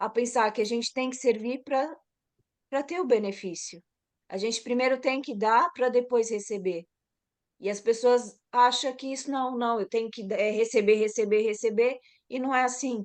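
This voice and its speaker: With a high pitch and fairly even intonation, a woman talks at a moderate pace. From Brazil, São Paulo. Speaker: massage therapist. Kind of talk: casual chat.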